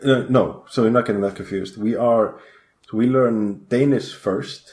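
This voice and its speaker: Speaking with an Icelandic accent, a man at medium pitch keeps a moderate pace and fairly even intonation in a very clean recording with a silent background. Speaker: game company programmer. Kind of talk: podcast interview.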